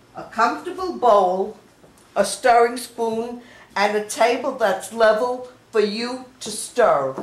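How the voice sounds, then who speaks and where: A woman speaks at a very slow pace with lively intonation and a fairly high pitch. Her loudness swings widely, and there is noticeable background noise. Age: 80s+. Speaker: home baker. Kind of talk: cooking demonstration.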